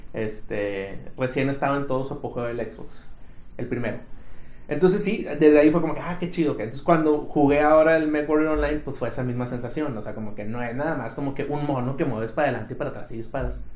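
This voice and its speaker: The speaker goes at a very fast pace with ordinary pitch variation, while audible room echo and noticeable background noise fill the recording. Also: man, fairly high pitch for a man. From Mexico, Monterrey. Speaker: podcast co-host. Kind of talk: casual chat.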